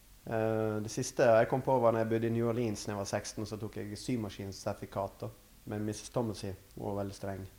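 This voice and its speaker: A fairly low-pitched man speaks at a fairly quick pace with monotone, flat intonation. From western Norway, Førde in Sunnfjord. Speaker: artist and gallery owner. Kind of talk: casual interview. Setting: artist's studio.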